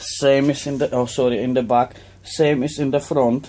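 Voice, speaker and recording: Medium in pitch, a man speaks in a monotone, flat way with a dark, mellow tone. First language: not English. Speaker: RC model builder. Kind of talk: tutorial; casual build update vlog. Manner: halting. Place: workshop. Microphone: phone near.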